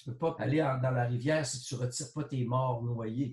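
A man talks at a moderate pace in a somewhat breathy, medium-pitched voice. His intonation stays fairly even. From Quebec, Huron-Wendat nation. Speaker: sociologist and art critic. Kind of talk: interview.

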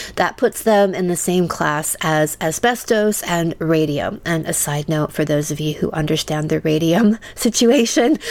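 A woman's ordinary speaking voice, fairly low in pitch, with ordinary pitch variation. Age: 50s. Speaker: sex and relationship coach. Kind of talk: scripted narration.

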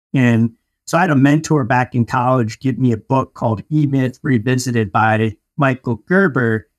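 A normal speaking voice in an American accent, delivered at a moderate pace with very even loudness and ordinary pitch variation. The background is quiet, and the sound is dry and close with no echo. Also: man, medium pitch for a man. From Denver, Colorado. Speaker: entrepreneur, painting company founder. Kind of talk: interview.

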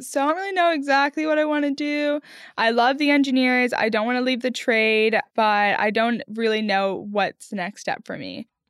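The speech moves at a moderate pace with lively intonation. Hardly any pauses break it up. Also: woman. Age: 20s. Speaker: army combat engineer. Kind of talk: interview.

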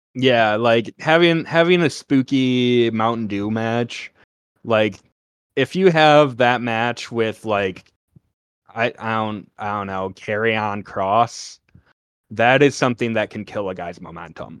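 Against a quiet background, a man speaks very slowly at medium pitch, with ordinary pitch variation and big swings in loudness. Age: 20s. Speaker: wrestling podcast host. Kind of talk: casual chat.

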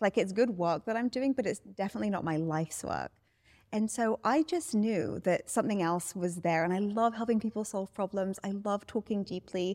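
A woman with a British accent speaks at medium pitch and a moderate pace, her intonation lively. The recording is very clean with a silent background and a dry, close sound with no echo. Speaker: life coach. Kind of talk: interview. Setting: studio.

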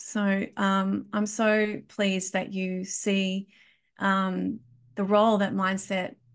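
Medium-pitched woman's voice with an Australian accent over a quiet background. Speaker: podcast host and kinesiologist. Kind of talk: interview. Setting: remote call.

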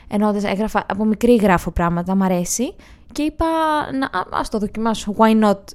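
A woman with an ordinary speaking voice talks at medium pitch and a moderate pace, with ordinary pitch variation. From northern Greece, Edessa. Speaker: comedian and YouTuber. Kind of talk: casual chat.

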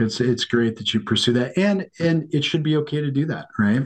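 A man with an American accent talks at a fairly quick pace in a plain, everyday voice with lively intonation. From US Mountain West. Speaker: family minister. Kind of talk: casual chat.

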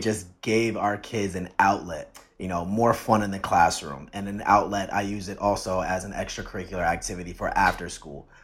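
A man with an American accent talks in a plain, everyday voice at a fairly low pitch and a moderate pace. His intonation stays fairly even, and the recording is very clean with a silent background. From New Jersey, Jersey City area. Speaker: teacher. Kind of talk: casual chat.

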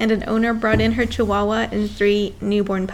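The recording is of a natural reading voice.

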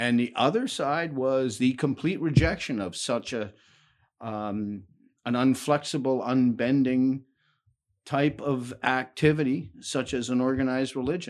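A man with a Canadian accent and a normal speaking voice, medium in pitch, fairly slow, with ordinary pitch variation over a quiet background. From Hamilton, Ontario, Canada. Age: 60s. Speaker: retired worker, barbershop bar regular. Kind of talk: interview conversation. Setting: basement recording room.

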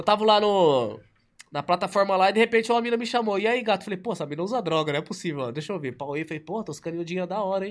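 In a very clean recording with a silent background, a man talks at a very fast pace in a high voice, with an animated tone and ordinary pitch variation. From Ribeirão Preto, São Paulo state, Brazil. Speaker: online influencer. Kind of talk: casual interview chat. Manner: animated, slangy.

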